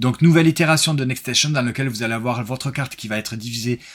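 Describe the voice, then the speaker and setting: A man talks at a very fast pace in a medium pitch, with ordinary pitch variation. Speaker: board game reviewer and streamer. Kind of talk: casual live-stream recap chat. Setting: live stream with co-host.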